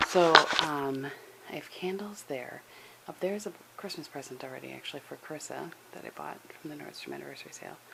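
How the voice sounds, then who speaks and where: Soft-spoken, a woman with a very deep, low pitch talks at a very fast pace, broken by long, frequent pauses. Her loudness swings widely over noticeable background noise. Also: ordinary pitch variation. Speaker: lifestyle vlogger. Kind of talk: casual vlog.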